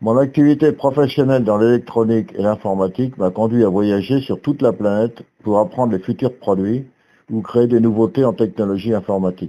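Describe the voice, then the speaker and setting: Against a quiet background, a man with a medium pitch and a dark, mellow tone speaks at a fairly quick pace with ordinary pitch variation. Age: 70s. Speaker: retired engineer giving a family speech. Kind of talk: prepared speech at a family gathering. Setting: hall with family audience. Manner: formal.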